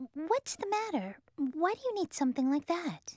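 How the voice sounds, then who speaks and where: A woman puts on a squeaky character voice at an extremely high pitch, with very wide pitch swings. She talks at a moderate pace, and the sound is dry and close with no echo. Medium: video game. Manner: warm, chatty.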